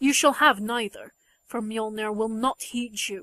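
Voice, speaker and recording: A woman uses a put-on character voice, fairly high in pitch, at a moderate pace. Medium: read story. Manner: earnest, pleading.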